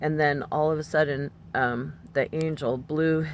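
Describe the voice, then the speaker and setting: With vocal fry and lively intonation, a woman speaks at a very deep, low pitch. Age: 60s. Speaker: religious vlogger. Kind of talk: personal testimony monologue. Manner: casual with many fillers.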